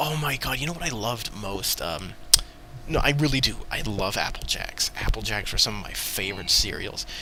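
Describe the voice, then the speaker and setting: A quiet man at a moderate pace, with audible room echo and noticeable background noise. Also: medium pitch for a man, lively intonation. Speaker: podcast host. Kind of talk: casual chat.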